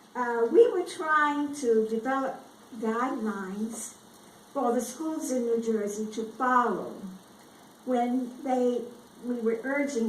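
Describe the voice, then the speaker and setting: A woman speaks at a fairly slow pace with an American accent and ordinary pitch variation. Room echo is audible. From US South. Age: 80s+. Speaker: retired education official. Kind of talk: speech.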